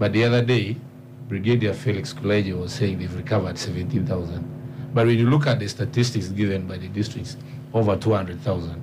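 Amid noticeable background noise and audible room echo, a man speaks at a moderate pace and a fairly low pitch with ordinary pitch variation. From Uganda, Karamoja region (Karenga district). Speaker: member of parliament. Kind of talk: radio panel discussion. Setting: studio.

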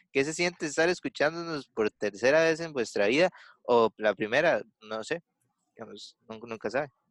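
With a Costa Rican accent, a man talks at a moderate pace, leaving long, frequent pauses. His tone is animated, his intonation lively, and the background quiet. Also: fairly high pitch for a man, dry, close sound with no echo. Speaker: podcast host. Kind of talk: casual chat. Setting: video call.

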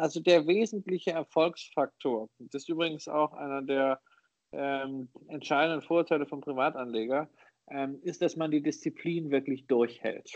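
A man with an unremarkable speaking voice, fairly high in pitch, with ordinary pitch variation, a moderate pace, and a dry, close sound with no echo. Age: 40s. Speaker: investor and author. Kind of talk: interview.

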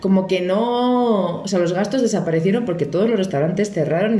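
Amid noticeable background noise and audible room echo, a woman with a Spanish accent speaks fairly quickly at a medium pitch with lively intonation. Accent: Spanish (Spain). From Spain. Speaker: podcast guest. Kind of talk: casual chat.

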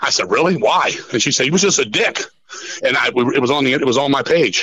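A man speaks in an animated tone with ordinary pitch variation amid noticeable background noise. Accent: American. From Washington DC area, US. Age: 50s. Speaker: metal musician. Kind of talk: casual chat. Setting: phone call.

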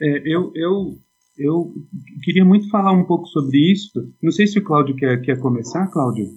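A man speaks at a moderate pace with a fairly high pitch and lively intonation. Long pauses come often. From Brazil, Suzano (São Paulo state). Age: 40s. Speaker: philosophy teacher. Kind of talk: casual chat.

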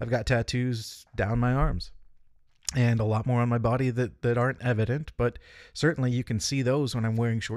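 A man with an American accent speaks at medium pitch and a moderate pace, an unremarkable speaking voice. The recording is very clean, with a silent background. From Northern California. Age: 40s. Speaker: podcast host and leadership consultant. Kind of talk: solo monologue podcast.

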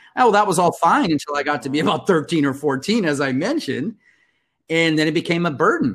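A man's fairly high voice with lively intonation, on a very clean recording with a silent background. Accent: Californian. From Compton, California. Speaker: communications consultant and coach. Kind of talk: interview.

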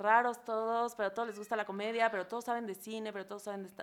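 A woman's fairly high voice with fairly even intonation, a plain, everyday voice. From Mexico, Acapulco, Guerrero. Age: 30s. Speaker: comedian. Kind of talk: casual chat.

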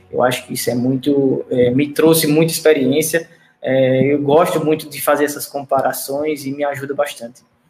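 A man's fairly high voice in a monotone, flat delivery at moderate pace, with music in the background. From Paraíba, Northeast Brazil. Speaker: animal nutrition researcher. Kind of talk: technical presentation in live stream interview. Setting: online live stream.

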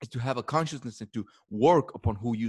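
A man speaks on a very clean recording with a silent background. The sound is dry and close, with no echo. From Mexico. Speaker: image consultant. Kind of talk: casual interview chat.

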